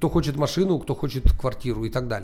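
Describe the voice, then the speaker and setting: On a very clean recording with a silent background, a man speaks with a fairly high pitch and a dark, mellow, somewhat breathy tone. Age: 40s. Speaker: entrepreneur, founder of an ad automation service. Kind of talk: interview.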